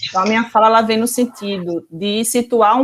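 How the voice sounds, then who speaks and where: Speaking with a Pernambuco accent, a woman keeps a moderate pace and ordinary pitch variation. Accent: Pernambuco accent, noticeable. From Pernambuco, Brazil. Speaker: professor, researcher. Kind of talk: online talk.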